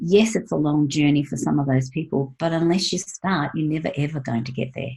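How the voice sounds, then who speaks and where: A woman talks at a fairly quick pace with a very deep, low pitch and ordinary pitch variation. Her tone is dark, mellow and somewhat breathy. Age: 60s. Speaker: wellness coach and former nurse. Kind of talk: casual interview.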